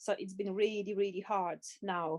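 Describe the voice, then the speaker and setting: A woman with a non-native accent speaks at a medium pitch and moderate pace with fairly even intonation. The recording is very clean with a silent background, and the sound is dry and close with no echo. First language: not English. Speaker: webinar attendee. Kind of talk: audience question.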